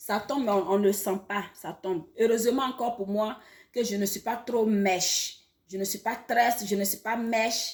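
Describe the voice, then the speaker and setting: With ordinary pitch variation, a woman speaks at a moderate pace in a somewhat breathy, medium-pitched voice. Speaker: online educator. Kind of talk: health talk to camera. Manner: halting, many repetitions.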